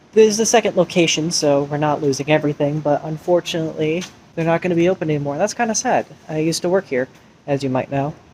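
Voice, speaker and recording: There is noticeable background noise. The speech goes at a very fast pace. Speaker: vlogger. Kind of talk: casual vlog. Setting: in a store. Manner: quiet.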